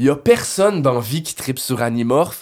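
Someone with a Quebec accent speaks in an animated tone. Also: man. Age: 30s. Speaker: toy collector. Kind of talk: casual chat.

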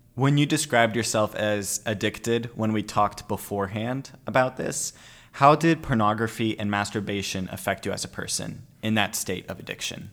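A man's ordinary speaking voice, fairly low in pitch, at a moderate pace with ordinary pitch variation, on a very clean recording against a silent background. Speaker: college student podcast host. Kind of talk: casual interview.

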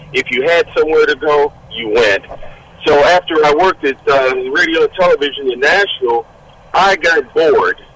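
Over noticeable background noise, a man with an American accent talks at a moderate pace with a dry, close sound with no echo. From Detroit, Michigan. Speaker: army veteran and retired state trooper. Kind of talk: radio interview.

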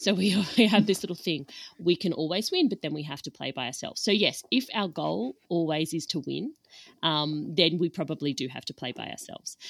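Over big swings in loudness, a woman talks at a fairly quick pace with a fairly low pitch. It is a normal speaking voice, recorded dry and close with no echo. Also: lively intonation, very clean recording, silent background. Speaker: podcast host, dietitian. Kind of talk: casual conversation.

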